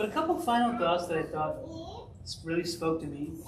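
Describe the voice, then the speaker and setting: A man with a high voice is heard through audible room echo and noticeable background noise. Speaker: pastor. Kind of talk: sermon. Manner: fast.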